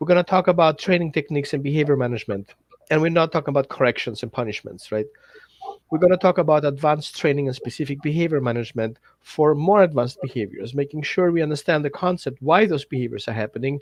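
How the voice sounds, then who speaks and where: A man with a non-native accent talks at a very fast pace. His pitch is fairly high, with ordinary variation. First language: not English. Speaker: dog trainer. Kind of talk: workshop pitch. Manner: halting.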